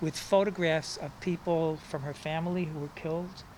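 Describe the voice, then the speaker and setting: With noticeable background noise in the mix, the delivery comes at a fairly slow pace. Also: man. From New York City (Bronx). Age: 60s. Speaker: poet and writer. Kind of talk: personal storytelling interview. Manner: halting.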